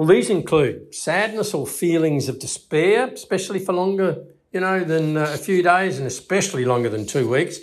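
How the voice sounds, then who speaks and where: Lively intonation marks this man's high-pitched voice with an Australian accent. He keeps a moderate pace. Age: 70s. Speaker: psychologist. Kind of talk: educational talk. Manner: halting, with fillers.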